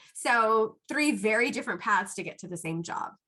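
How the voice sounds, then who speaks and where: The voice is loud and animated, with a bright, sharp tone. Delivery comes at a fairly quick pace. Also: woman. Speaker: psychiatric pharmacist. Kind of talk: Q&A talk to students.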